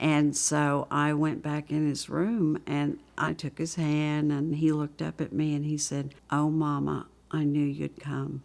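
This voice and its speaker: A woman with a Southern US accent speaks in a very deep, low pitch with monotone, flat intonation, at a fairly slow pace with hardly any pauses. The recording is very clean with a silent background. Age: 60s. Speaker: AIDS caregiver. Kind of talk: interview testimony.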